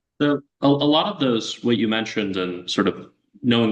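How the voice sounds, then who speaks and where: With a plain, everyday voice, a man speaks at a fairly quick pace with ordinary pitch variation. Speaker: law student interviewer. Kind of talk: interview questions.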